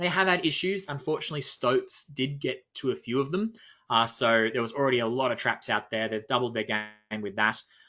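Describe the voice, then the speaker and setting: Speaking with an Australian accent, a man at medium pitch moves at a fairly quick pace with lively intonation. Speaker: nature expedition leader. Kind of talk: webinar presentation.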